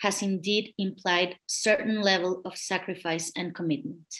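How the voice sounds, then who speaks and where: A woman with a Spanish accent, at a fairly slow pace. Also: quiet background. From Mexico. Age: 40s. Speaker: kidney patient advocate, lawyer. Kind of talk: testimony. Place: home room. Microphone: webcam.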